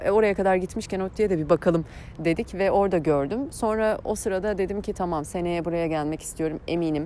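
A woman's dark, mellow voice at a medium pitch, with ordinary pitch variation and hardly any pauses. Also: fairly quick pace. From Turkey, Eskişehir. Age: 30s. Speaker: podcast host and life coach. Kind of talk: personal monologue. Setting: outdoors on morning walks. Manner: halting, many fillers.

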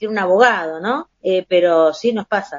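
A woman uses an ordinary speaking voice at a moderate pace. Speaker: podcast co-host. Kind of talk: casual chat.

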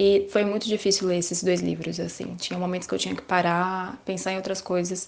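Hardly pausing, a woman talks at a fairly quick pace in a monotone, flat intonation. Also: medium pitch for a woman. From Brazil, Guarulhos (São Paulo). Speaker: journalist. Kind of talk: panel discussion. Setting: remote call.

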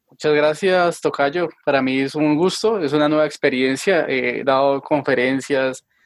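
A man with a fairly high pitch and a normal speaking voice speaks at a moderate pace with fairly even intonation, the sound dry and close with no echo. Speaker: physician, epidemiologist. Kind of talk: interview. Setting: video call.

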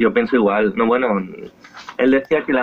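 With ordinary pitch variation, a man speaks in a medium pitch. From Spain, Esplugues de Llobregat (Barcelona area). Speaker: singer-songwriter. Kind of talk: interview. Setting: outdoors on his terrace, remote call.

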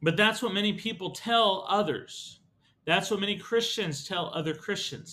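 A man speaks at a moderate pace in a high, raised, projected voice with a bright, sharp tone and ordinary pitch variation. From Texas. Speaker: podcast host. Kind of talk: solo podcast monologue.

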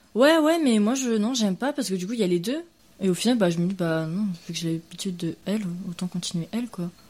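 Talking at a very fast pace, a woman sounds somewhat breathy and uses lively intonation. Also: medium pitch for a woman. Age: 20s. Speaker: interviewee. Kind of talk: casual interview.

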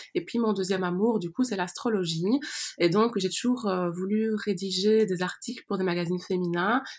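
At a fairly slow pace, a woman speaks in a medium pitch with fairly even intonation. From Belgium. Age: 20s. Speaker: astrologer. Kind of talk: interview. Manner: soft-spoken.

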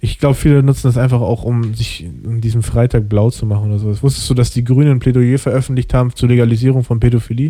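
The voice is dark, mellow and somewhat breathy, rushing along at a very fast pace with hardly any pauses and fairly even intonation. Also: man, medium pitch for a man. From Germany. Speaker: podcast host. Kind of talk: casual chat.

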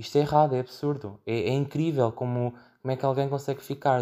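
Heard on a very clean recording against a silent background, a man with a European Portuguese accent speaks at a medium pitch in a dark, mellow tone. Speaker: podcast host. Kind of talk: solo monologue. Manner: halting with frequent fillers and repetitions.

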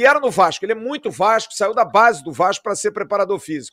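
A man with a high pitch talks at a fairly quick pace in a raised, projected voice with lively intonation. The sound is dry and close with no echo. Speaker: football podcast host. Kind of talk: post-match football talk show. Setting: at the stadium.

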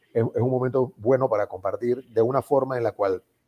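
A man speaks with fairly even intonation and a somewhat breathy quality. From Panama. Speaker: association member, former national president. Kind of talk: casual chat. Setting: video call.

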